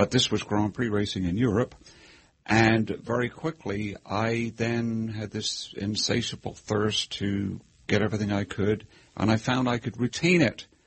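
A man with an American accent, a fairly low pitch, a somewhat breathy sound, fairly even intonation and a fairly slow pace. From England. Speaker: motor racing historian. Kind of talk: interview.

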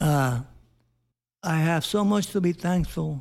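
A man's high voice carries a dark, mellow tone. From Puerto Rico. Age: 70s. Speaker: Vietnam veteran, interviewee. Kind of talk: personal interview. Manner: halting.

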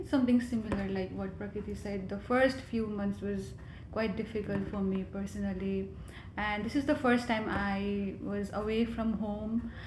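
Audible room echo and noticeable background noise mark this clip. A woman talks at a moderate pace. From Nepal, Kathmandu. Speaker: graduate student, climate advocate. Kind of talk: interview.

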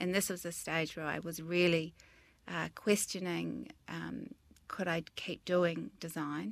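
In a New Zealand accent, a woman speaks fairly slowly with vocal fry and a fairly low pitch. Her pitch varies ordinarily, and the recording is very clean with a silent background. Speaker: interior designer and business founder. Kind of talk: interview.

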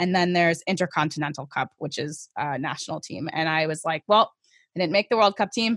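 In a plain, everyday voice with an American accent, a woman speaks fairly quickly at a fairly low pitch. Her pitch varies in an ordinary way, on a very clean recording with a silent background. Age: 30s. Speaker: skeleton racer and soldier. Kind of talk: interview.

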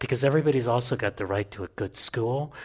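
A man speaks with a somewhat breathy voice. The background is quiet. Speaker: policy researcher and professor. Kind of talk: panel discussion before a live audience. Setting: stage with audience.

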